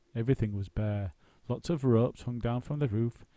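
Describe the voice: The voice reads aloud plainly. Its pitch shows ordinary variation.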